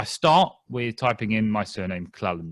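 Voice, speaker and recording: In a very clean recording with a silent background and a dry, close sound with no echo, a man speaks in a British accent. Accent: British, noticeable. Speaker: genealogist. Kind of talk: lecture. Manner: fast; clear.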